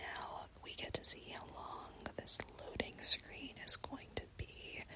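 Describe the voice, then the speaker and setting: Very slow whispering in an American accent, with noticeable background noise. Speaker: gaming ASMR creator. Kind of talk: ASMR gameplay commentary. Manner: soft-spoken.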